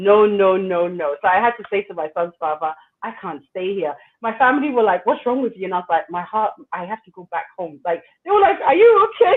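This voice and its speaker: With a British accent, a woman talks at a fairly quick pace and a medium pitch. Her intonation is lively, and her loudness swings widely. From England (London). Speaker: entrepreneur. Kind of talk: interview.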